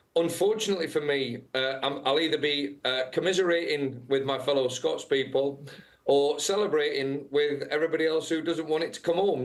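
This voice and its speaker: Over noticeable background noise, a man with a fairly high pitch speaks at a moderate pace with fairly even intonation and hardly any pauses. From England. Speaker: football head coach. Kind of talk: interview. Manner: halting, many fillers.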